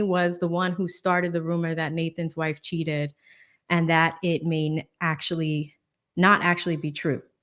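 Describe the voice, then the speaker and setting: A woman with an American accent talks at a medium pitch and moderate pace on a very clean recording with a silent background. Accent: Boston accent, can switch on and off. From Boston, Massachusetts. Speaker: lawyer and legal commentary streamer. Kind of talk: casual livestream chat. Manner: casual, filler-heavy.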